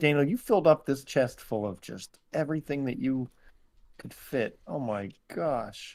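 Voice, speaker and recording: Big swings in loudness mark a man's speech at a medium pitch. He goes at a fairly slow pace with ordinary pitch variation. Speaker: podcast co-host. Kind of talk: casual chat. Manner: sluggish.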